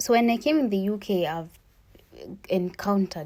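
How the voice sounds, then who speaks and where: Over a silent background in a very clean recording, a woman with a Kenyan accent speaks at a medium pitch with a dark, mellow tone and lively intonation. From Kenya, Kikuyu region. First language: Kikuyu or Swahili. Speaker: student vlogger. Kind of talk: cooking vlog narration. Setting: village in Kenya. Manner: casual, conversational.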